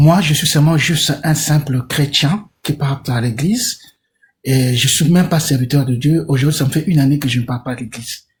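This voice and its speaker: A man talks at a moderate pace in a fairly high pitch. His voice is somewhat breathy, with ordinary pitch variation. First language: Portuguese (speaking French). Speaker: caller. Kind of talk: live call-in discussion.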